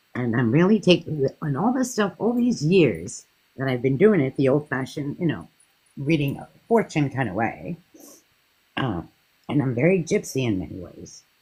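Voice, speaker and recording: Moderate pace over music in the background. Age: 60s. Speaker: psychic reader. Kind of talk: casual chat.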